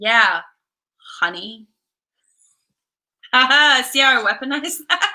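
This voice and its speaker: In a raised, projected voice with a bright, sharp tone, a woman speaks at a high pitch and fairly slow pace, swinging very widely in pitch with long, frequent pauses. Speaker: comics podcast host. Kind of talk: casual chat.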